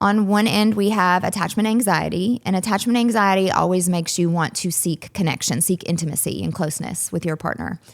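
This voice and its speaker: A woman with an American accent speaks at a fairly quick pace and a medium pitch, with ordinary pitch variation and hardly any pauses, in a very clean recording with a silent background. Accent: Southern US, varies in strength. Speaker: psychologist and relationship coach. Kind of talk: interview explanation.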